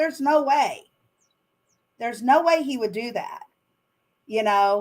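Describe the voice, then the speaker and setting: A woman in a Southern US accent with lively intonation. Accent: Southern US accent, noticeable. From Arkansas. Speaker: author and business owner. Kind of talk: interview.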